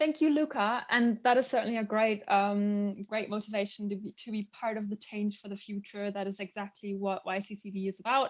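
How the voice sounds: A woman at a fairly quick pace, with fairly even intonation and few pauses. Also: medium pitch for a woman.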